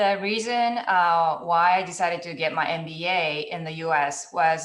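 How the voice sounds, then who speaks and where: Audible room echo surrounds a woman with a fairly low pitch who speaks at a moderate pace. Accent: Japanese. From Japan. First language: Japanese. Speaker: venture capital partnerships director, panelist. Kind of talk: panel discussion over video call. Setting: video call.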